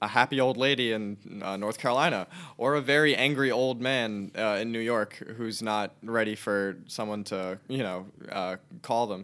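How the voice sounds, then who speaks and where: An unremarkable speaking voice: a man, fairly low in pitch, with fairly even intonation, on a very clean recording with a silent background. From New Jersey (Elizabeth, near Newark). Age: 20s. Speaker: student podcast editor. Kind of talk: casual interview.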